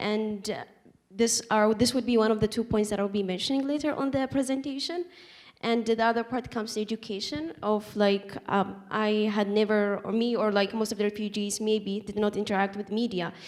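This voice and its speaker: Over noticeable background noise, a woman with a fairly high pitch talks at a fairly quick pace. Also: ordinary pitch variation. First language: not English. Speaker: refugee panelist. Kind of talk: panel discussion. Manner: halting.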